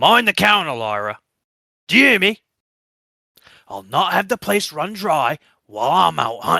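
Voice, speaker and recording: A man's put-on character voice, fairly high in pitch, with very wide pitch swings, a moderate pace, long, frequent pauses and a dry, close sound with no echo. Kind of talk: rough folksy dialect. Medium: actual play. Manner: gruff, taunting, coarse.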